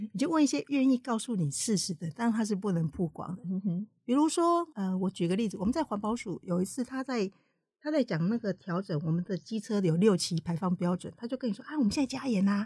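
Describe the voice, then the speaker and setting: A woman at medium pitch, somewhat breathy and dark, mellow in tone, with very wide pitch swings, a fairly quick pace, hardly any pauses, and a dry, close sound with no echo. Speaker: independent journalist. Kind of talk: interview. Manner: gentle, soft tone.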